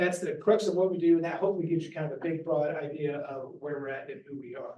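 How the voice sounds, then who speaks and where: With an American accent, a man with a high pitch races along at a very fast pace, keeping fairly even intonation but showing big swings in loudness. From Missouri, Bootheel. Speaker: nonprofit refugee resettlement staffer. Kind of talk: presentation to church group.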